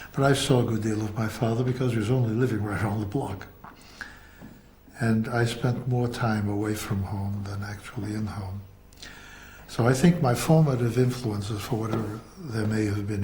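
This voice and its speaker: A man talks at a moderate pace with fairly even intonation and long, frequent pauses, amid noticeable background noise and audible room echo. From US Northeast, Boston. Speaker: actor and theatre teacher. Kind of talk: biographical interview.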